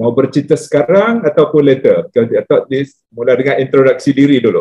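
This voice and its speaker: A man speaks at a fairly quick pace in a fairly high, somewhat breathy voice with ordinary pitch variation. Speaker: government tax official, panelist. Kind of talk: conference panel discussion. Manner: hesitant, many fillers.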